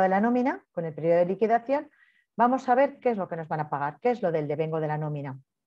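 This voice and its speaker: Against a quiet background, a woman speaks in a dark, mellow tone with very wide pitch swings. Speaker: payroll training instructor. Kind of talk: online training lecture. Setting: online class with participants' microphones. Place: home room. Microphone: webcam.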